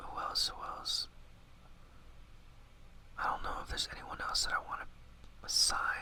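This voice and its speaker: A man whispers and mumbles at a moderate pace, leaving long, frequent pauses. Noticeable background noise runs underneath. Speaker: ASMR gaming YouTuber. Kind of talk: casual gaming commentary to camera. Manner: whispered, mumbling, casual.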